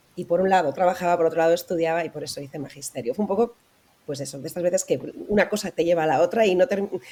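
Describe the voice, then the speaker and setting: Speaking at a very fast pace, a woman has a fairly low pitch and a dark, mellow tone with ordinary pitch variation. Her loudness swings widely. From Spain, Valladolid (Castile). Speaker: author, radio professional. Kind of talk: interview.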